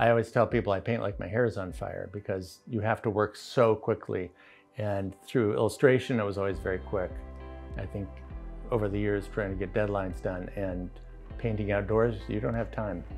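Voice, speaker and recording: Faint music sits behind a man speaking at a moderate pace. His pitch is fairly low, with ordinary variation. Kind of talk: interview answer. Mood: calm, reflective. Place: home room.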